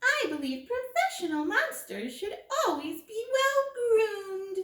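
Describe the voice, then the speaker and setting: A put-on character voice, squeaky and extremely high in pitch, is raised and projected. It moves at a fairly slow pace with very wide pitch swings. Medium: read story. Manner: prim, courteous.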